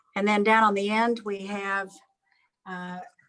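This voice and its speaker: A woman with an American accent at medium pitch, monotone and flat. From Kentucky, US. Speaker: museum curator and collector. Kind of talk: guided tour. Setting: video call.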